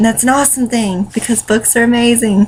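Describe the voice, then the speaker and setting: Fairly high pitch from a woman, heard over noticeable background noise. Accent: Southern US. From US South, North Carolina. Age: 20s. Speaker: vlogger, stay-at-home mom and writer. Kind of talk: casual vlog monologue. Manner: rambling, many fillers.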